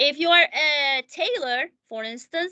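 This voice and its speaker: A woman speaks at a fairly slow pace with a non-native accent, her voice raised and projected with a bright, sharp tone and ordinary pitch variation. The sound is dry and close with no echo, against a quiet background. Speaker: math teacher. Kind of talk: tutorial. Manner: halting, many fillers; casual.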